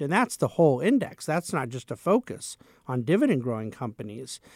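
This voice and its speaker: A man speaks at a moderate pace and medium pitch in an ordinary speaking voice. The recording is very clean, with a silent background and a dry, close sound with no echo. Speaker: money manager. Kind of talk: interview.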